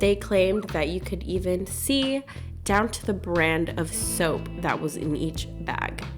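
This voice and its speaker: Music plays in the background as a woman speaks. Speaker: travel content creator. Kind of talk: casual talk to camera.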